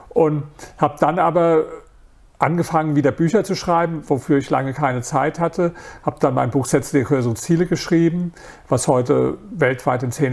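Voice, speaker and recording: This man has a plain, everyday voice with a fairly high pitch. His pitch varies in an ordinary way, and he talks at a moderate pace. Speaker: author and entrepreneur. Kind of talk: interview.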